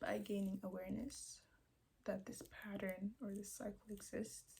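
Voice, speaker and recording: The voice is quiet and moves at a moderate pace. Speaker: vlogger. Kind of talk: casual vlog monologue. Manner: hesitant, searching for words.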